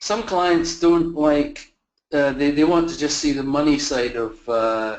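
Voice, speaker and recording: A man with a Scottish accent speaks at a moderate pace, his fairly high pitch showing ordinary pitch variation. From Scotland. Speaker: facilities management consultant. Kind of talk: webinar presentation. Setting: online virtual conference. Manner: halting, many fillers and repeats.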